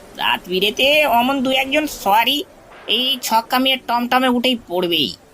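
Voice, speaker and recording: A man's cartoonish character voice, extremely high-pitched, raised and projected, at a moderate pace. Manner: grumbling, blustering.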